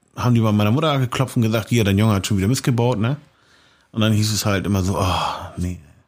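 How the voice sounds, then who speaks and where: Recorded very cleanly with a silent background, a man speaks at a very fast pace and fairly low pitch, with ordinary pitch variation and very even loudness. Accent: slight Hamburg. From Hamburg, St. Pauli. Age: 40s. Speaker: street art painter. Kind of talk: interview. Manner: casual, many fillers.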